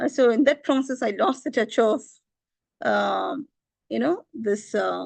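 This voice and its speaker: Speaking with a Tamil accent, a woman takes long, frequent pauses. Her pace is fairly slow. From India, Tamil Nadu. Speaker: religious teacher. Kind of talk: scripture lecture. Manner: halting, many fillers.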